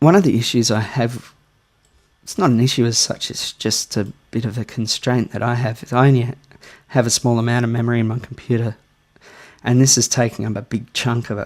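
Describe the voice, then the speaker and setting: With a strong Australian accent, a man at a medium pitch talks at a fairly quick pace with fairly even intonation, broken by long, frequent pauses. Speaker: music producer. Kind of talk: tutorial. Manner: casual.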